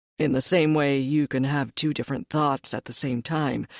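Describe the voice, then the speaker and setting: Using a put-on character voice, a woman sounds raspy with a very deep, low pitch in a very clean recording with a silent background. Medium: read story. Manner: gruff, curt.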